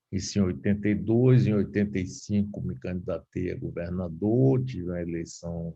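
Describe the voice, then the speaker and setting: Very deep and low, a man's voice has a dark, mellow tone. He speaks at a moderate pace with lively intonation. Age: 70s. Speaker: radio broadcaster and former politician. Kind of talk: lecture. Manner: casual.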